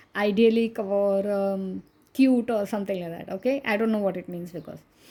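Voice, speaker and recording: On a very clean recording with a silent background, a woman with a Goan accent speaks in a dark, mellow tone. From India, Maharashtra. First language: Konkani. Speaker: coloring book reviewer. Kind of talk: casual video review.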